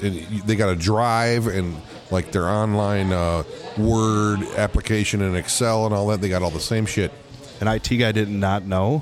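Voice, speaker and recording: Over noticeable background noise, a man speaks at a moderate pace in a fairly low voice, with very even loudness and fairly even intonation. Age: old. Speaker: musician. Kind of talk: casual chat. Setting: bar.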